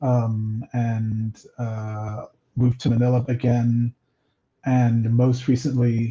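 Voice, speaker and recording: A man's medium-pitched, dark, mellow, somewhat breathy voice, very slow and monotone with flat intonation. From Nigeria (Lagos). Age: 40s. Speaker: comic book writer. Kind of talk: interview.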